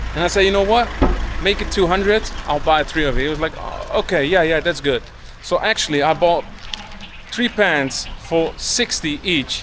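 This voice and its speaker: A man talks at a moderate pace with noticeable background noise in the recording. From Turkey. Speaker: travel vlogger. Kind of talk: vlog narration. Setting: outdoors. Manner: casual, conversational.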